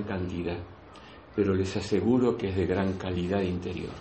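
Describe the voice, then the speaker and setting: An Argentine accent amid audible room echo. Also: man. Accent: Rioplatense Argentine Spanish. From Argentina, Buenos Aires province countryside. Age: 60s. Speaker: spiritual teacher, breathwork facilitator. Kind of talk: spiritual talk to a group. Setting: in-person gathering in Granada. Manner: halting, repetitive.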